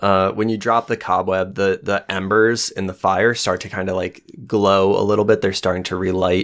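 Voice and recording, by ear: A man talks at a low pitch with little pitch movement. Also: moderate pace.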